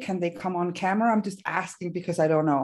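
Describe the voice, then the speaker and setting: A woman in a Danish accent, medium pitch, ordinary pitch variation, quiet background. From Denmark. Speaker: therapist trainer. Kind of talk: workshop presentation. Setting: video call from a hotel room.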